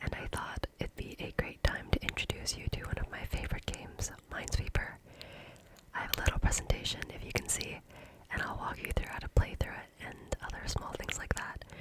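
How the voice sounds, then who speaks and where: A woman whispering at a fairly quick pace, with big swings in loudness and noticeable background noise. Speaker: ASMR creator and YouTuber. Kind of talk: ASMR tutorial / gameplay narration. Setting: home studio with condenser microphone, some background noise. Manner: whispered, soft-spoken.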